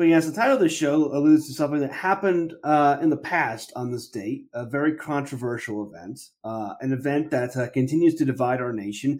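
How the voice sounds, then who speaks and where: A man speaks with a fairly high pitch in a normal speaking voice. He talks at a fairly quick pace with hardly any pauses and ordinary pitch variation. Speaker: podcast host. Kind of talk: casual banter podcast.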